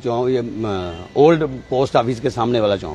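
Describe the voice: Faint background noise sits behind a man talking at a moderate pace. His voice is dark and mellow, medium in pitch, with lively intonation.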